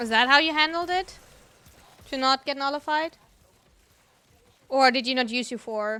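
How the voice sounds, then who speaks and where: A woman with a German accent uses a raised, projected voice that is high-pitched, bright and sharp, with ordinary pitch variation and long, frequent pauses. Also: moderate pace. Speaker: gaming streamer. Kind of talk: casual chat.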